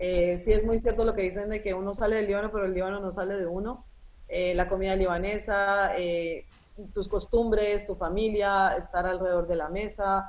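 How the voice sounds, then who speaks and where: A woman's medium-pitched voice at a moderate pace, flat and monotone in intonation. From Colombia (from age 10), born in Lebanon. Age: 40s. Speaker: journalist. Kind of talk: interview.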